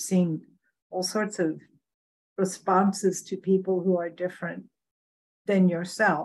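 A woman speaks at a medium pitch. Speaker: podcast co-host. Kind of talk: interview.

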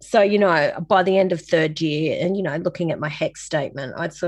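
Speaking at a moderate pace with an Australian accent, a woman uses a fairly low voice with ordinary pitch variation. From Sydney, Australia (La Perouse). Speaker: designer and film producer. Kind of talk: interview conversation.

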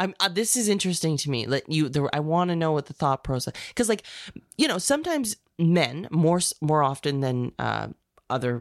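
A woman with a very deep, low pitch speaks in a playful tone with lively intonation at a moderate pace, on a very clean recording with a silent background. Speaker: podcast co-host. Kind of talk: casual banter between co-hosts. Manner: laughing often, playful.

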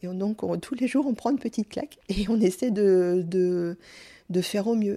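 A woman with a dark, mellow tone speaks at a medium pitch and a fairly quick pace, with ordinary pitch variation. The recording is very clean against a silent background. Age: 50s. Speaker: stroke survivor. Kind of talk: testimony. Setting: at her home. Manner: halting, stumbling over words.

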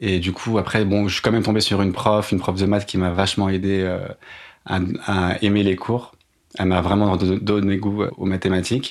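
With a fairly low pitch and monotone, flat intonation, a man speaks at a moderate pace in very even loudness, on a very clean recording with a silent background. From Paris. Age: 30s. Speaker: podcast guest sharing career change story. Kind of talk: personal testimony. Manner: hesitant, frequent fillers.

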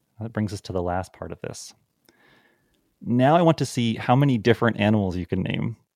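Against a silent background in a very clean recording with a dry, close sound and no echo, a man speaks at a fairly quick pace in a medium pitch, with lively intonation, big swings in loudness and long, frequent pauses. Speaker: podcast host and statistics teacher. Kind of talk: educational podcast conversation. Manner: fast talker.

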